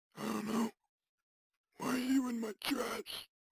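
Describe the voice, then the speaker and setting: A raspy put-on character voice, fairly high in pitch, at a fairly slow pace. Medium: audio drama. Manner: weary, wry.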